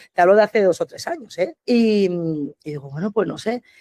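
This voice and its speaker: At a fairly quick pace, a woman with a dark, mellow tone speaks at a medium pitch with lively intonation, in a dry, close sound with no echo. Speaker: restaurant owner and manager. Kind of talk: podcast interview. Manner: fast, animated.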